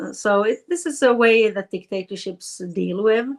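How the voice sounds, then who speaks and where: A woman with a Swedish accent at a fairly slow pace with ordinary pitch variation, in a very clean recording with a silent background. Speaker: politician. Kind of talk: interview. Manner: halting.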